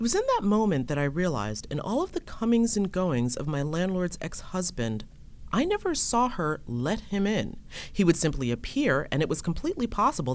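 Using vocal fry and very wide pitch swings, a woman with an American accent speaks at a moderate pace. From New York State, Hudson Valley (Ulster County). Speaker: podcast host and reporter. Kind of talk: personal storytelling.

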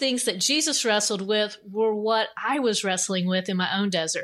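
A woman's medium-pitched voice with a bright, sharp tone and ordinary pitch variation, on a very clean recording with a silent background. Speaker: author. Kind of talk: interview.

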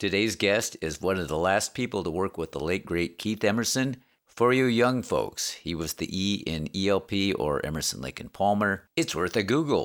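A man's plain, everyday voice, fairly low in pitch, at a moderate pace with lively intonation, in a very clean recording with a silent background. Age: 60s. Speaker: podcast host. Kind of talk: scripted intro; casual interview chat.

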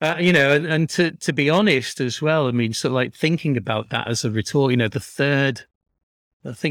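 This man has an unremarkable speaking voice, medium in pitch with ordinary variation, at a moderate pace. The sound is dry and close with no echo, on a very clean recording with a silent background. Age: 50s. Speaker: artist and gallery worker. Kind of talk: casual interview.

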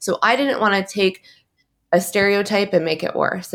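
A woman talks at a fairly quick pace with an American accent and ordinary pitch variation. Hers is a normal speaking voice. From Michigan, US Midwest. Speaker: fashion entrepreneur and activist. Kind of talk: interview, personal testimony.

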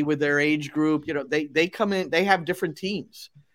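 In a very clean recording with a silent background, a man with an American accent uses a normal speaking voice at a fairly high pitch, with ordinary pitch variation and a moderate pace. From New Jersey. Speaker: soccer broadcaster and coach. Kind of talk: interview.

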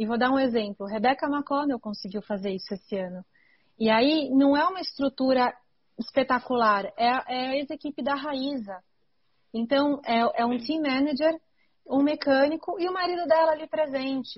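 Her pitch is high for a woman, and this woman's voice shows ordinary variation in pitch. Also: moderate pace. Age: 30s. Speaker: mountain bike racer and podcast host. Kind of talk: casual chat.

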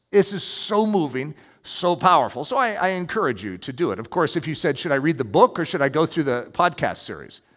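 A man with a fairly high voice talks at a fairly quick pace with vocal fry. His pitch swings very widely. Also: very clean recording, silent background. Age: 50s. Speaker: pastor. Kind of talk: sermon.

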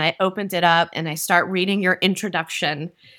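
Recorded very cleanly against a silent background, a woman with a fairly low pitch talks at a fairly quick pace in a bright, sharp tone. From central New Jersey. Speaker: podcast host, wine educator. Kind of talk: casual interview chat. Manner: animated.

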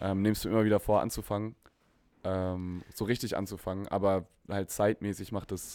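On a very clean recording with a silent background, a man speaks in a fairly low pitch at a moderate pace, with monotone, flat intonation. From Konstanz, southern Germany. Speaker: musician. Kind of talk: casual chat.

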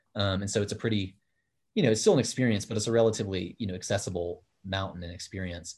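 Somewhat breathy and fairly low, a man talks very fast with fairly even intonation. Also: quiet background. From Kenya. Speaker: mountain guide and outdoor educator. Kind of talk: casual chat. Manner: halting.

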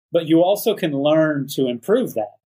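Fairly high in pitch with ordinary variation, this man speaks with a Texan accent. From Texas, Dallas Fort Worth area. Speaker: photojournalist and artist. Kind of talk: interview.

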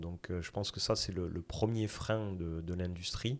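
A man talks in a very deep, low voice. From southwest France. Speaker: insurtech startup founder. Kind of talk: interview.

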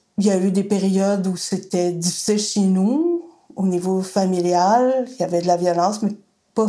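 Her tone is dark and mellow at a medium pitch. The woman keeps a moderate pace. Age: 60s. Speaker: daughter of a femicide victim, women's group worker. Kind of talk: testimony.

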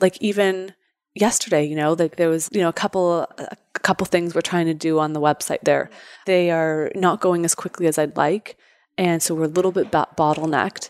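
On a very clean recording with a silent background and a dry, close sound with no echo, a woman with a Canadian accent uses an ordinary speaking voice at a fairly low pitch and a moderate pace. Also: fairly even intonation. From Canada. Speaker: entrepreneur. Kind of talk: interview.

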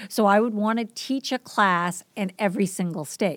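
A woman with a Boston accent and ordinary pitch variation, in a very clean recording with a silent background. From Boston, US Northeast. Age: 50s. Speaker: teacher and substitute, podcast guest. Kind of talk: casual interview conversation.

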